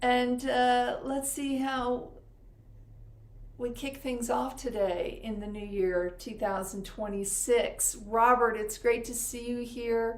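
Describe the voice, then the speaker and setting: A woman's high, warm voice at a very slow pace, with fairly even intonation and audible room echo. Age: 60s. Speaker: spiritual channeler. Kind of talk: live stream chat. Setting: live stream. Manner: casual, warm.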